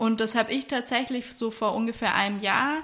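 Music plays in the background as a woman talks at a moderate pace, her fairly high pitch held in fairly even intonation. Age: 30s. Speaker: entrepreneur and sustainability consultant. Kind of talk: interview.

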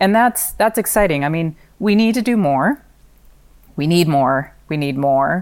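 At a fairly slow pace, a woman speaks in a very deep, low pitch with an American accent. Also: very clean recording, silent background. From US West Coast (Pacific Northwest, California). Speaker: nonprofit housing CEO. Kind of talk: interview.

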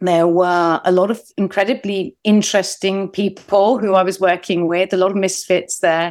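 A woman with a London accent speaks at a moderate pace in a medium pitch, her intonation monotone and flat, her loudness very even, with hardly any pauses, on a very clean recording with a silent background. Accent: British English (London). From England. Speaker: documentary filmmaker. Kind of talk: interview.

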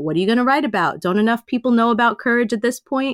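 In a New York accent, a woman speaks at a fairly high pitch. The recording is very clean with a silent background and a dry, close sound with no echo. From Queens, New York. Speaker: life coach and author. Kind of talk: interview.

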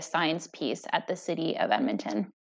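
Her delivery is at a moderate pace with lively intonation, as a woman talks in a normal speaking voice. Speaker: podcast interviewer. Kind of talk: interview questions.

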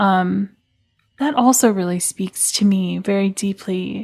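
Somewhat breathy, a woman speaks very slowly with fairly even intonation. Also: dry, close sound with no echo, very clean recording, silent background. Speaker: musician and artist. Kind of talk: casual conversation.

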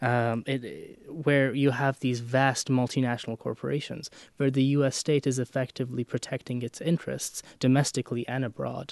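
A man speaks in a medium pitch with monotone, flat intonation. The sound is dry and close with no echo, against a quiet background. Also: moderate pace. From Romania. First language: Romanian. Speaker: history student. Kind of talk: academic discussion. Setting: studio.

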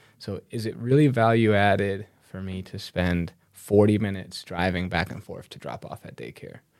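In a normal speaking voice, a man with an American accent talks at a moderate pace and a fairly low pitch. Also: ordinary pitch variation, big swings in loudness. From Chicago, US Midwest. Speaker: entrepreneur and National Guard member. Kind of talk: podcast interview. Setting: in-person studio interview.

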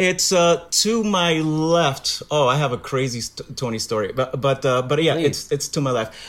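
At a moderate pace with hardly any pauses, a man speaks with an American accent, his pitch fairly high and his pitch variation ordinary. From Brooklyn, New York. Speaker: Broadway actor. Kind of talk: casual interview.

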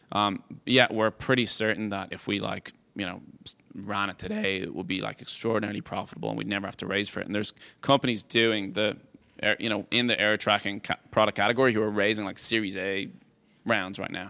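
A fairly low-pitched man with a Dublin accent, very fast, bright and sharp in tone, with fairly even intonation. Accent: Irish (Dublin). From Ireland, Dublin. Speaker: tech company CEO. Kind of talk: interview on stage.

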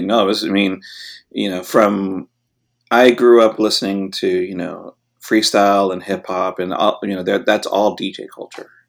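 This man speaks in a Californian accent with a fairly low pitch and monotone, flat intonation. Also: moderate pace, very clean recording, silent background. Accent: Californian American. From Los Angeles. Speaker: DJ. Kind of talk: interview.

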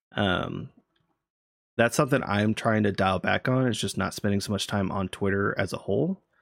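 This man has an unremarkable speaking voice at a fairly low pitch. He keeps a moderate pace with ordinary pitch variation. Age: 30s. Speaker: podcast host. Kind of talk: casual chat.

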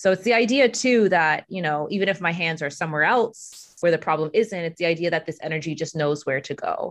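A woman with an ordinary speaking voice, a fairly low pitch and lively intonation against a quiet background. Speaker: Reiki practitioner and life coach. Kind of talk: casual interview conversation.

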